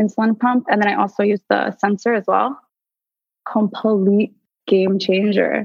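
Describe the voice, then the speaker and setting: Speaking at a moderate pace with an American accent, a woman has a plain, everyday voice at medium pitch. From US Northeast (tri-state area). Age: 20s. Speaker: guest with type 1 diabetes. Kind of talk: casual interview.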